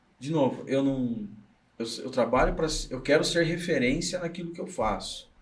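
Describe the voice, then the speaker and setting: Audible room echo surrounds a man's fairly high voice. He speaks at a moderate pace with lively intonation. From Brazil, interior of São Paulo state. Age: 40s. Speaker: business consultant and trainer. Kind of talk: podcast interview. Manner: halting, frequent self-corrections.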